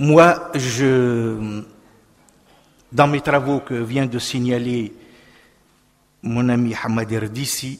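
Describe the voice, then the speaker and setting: A man with a medium pitch speaks at a very slow pace. There are long, frequent pauses, and his intonation is fairly even. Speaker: political scientist. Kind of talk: panel speech.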